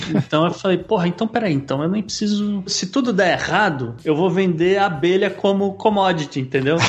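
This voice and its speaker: A man talks at a fairly quick pace with hardly any pauses, in a high pitch with ordinary pitch variation. Noticeable background noise is present. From Brazil, São Paulo. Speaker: farm owner and beekeeper. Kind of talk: casual interview chat. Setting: remote call.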